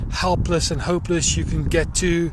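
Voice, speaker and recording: A man speaks in a South African accent. Noticeable background noise and audible room echo surround him. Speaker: social worker. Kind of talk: personal appeal video. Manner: hesitant, many fillers.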